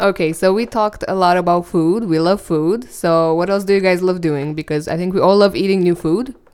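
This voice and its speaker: A woman with a Romanian accent, fairly quick, with fairly even intonation. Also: medium pitch for a woman, hardly any pauses. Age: 20s. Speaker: podcast host. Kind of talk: casual chat. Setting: studio.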